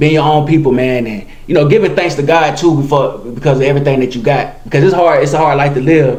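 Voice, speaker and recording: A man with a South Carolina accent, fairly high pitch, ordinary pitch variation and a very fast pace, amid noticeable background noise and audible room echo. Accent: Southern US (South Carolina). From South Carolina (Monetta, rural). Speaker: podcast host. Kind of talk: casual interview. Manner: relaxed, conversational.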